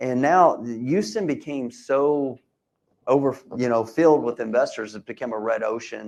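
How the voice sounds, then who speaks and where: A man with an American accent, a medium pitch and a normal speaking voice. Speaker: real estate investor and seminar speaker. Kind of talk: live seminar presentation.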